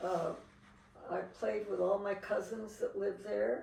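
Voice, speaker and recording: A woman with an American accent at a fairly slow pace, audible room echo around her. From Seattle, US Pacific Northwest. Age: 80s+. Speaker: interviewee recalling family history. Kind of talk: interview.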